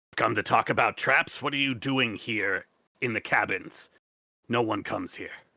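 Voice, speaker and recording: A man puts on a character voice that is raspy, guttural and hissing. He keeps a medium pitch and a moderate pace. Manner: threatening.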